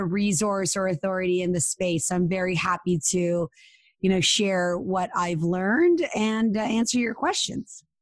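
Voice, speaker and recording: A woman speaks at a medium pitch and a moderate pace with ordinary pitch variation. Hers is an unremarkable speaking voice. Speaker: matchmaker and online dating expert. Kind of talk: interview.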